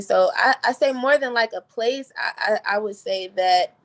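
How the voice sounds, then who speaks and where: In an American accent, a woman talks with ordinary pitch variation, the sound dry and close with no echo. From DMV area, US East Coast. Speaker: singer. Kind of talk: radio interview. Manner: casual.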